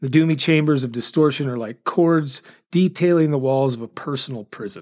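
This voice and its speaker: A man talks with ordinary pitch variation, and the recording is very clean with a silent background. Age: 50s. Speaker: podcast host and music reviewer. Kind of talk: casual monologue with album reviews. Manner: occasionally stumbles over words.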